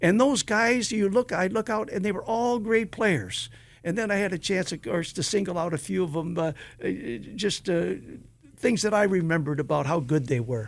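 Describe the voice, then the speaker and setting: At a moderate pace, a man talks in a high pitch with lively intonation. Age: 80s+. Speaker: retired sports broadcaster. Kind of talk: casual interview. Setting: studio. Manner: halting; animated.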